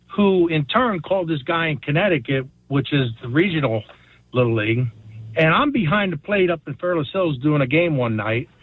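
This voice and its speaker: A man with a normal speaking voice talks at a moderate pace, fairly high in pitch and lively in intonation. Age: 60s. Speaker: caller. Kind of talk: phone-in anecdote.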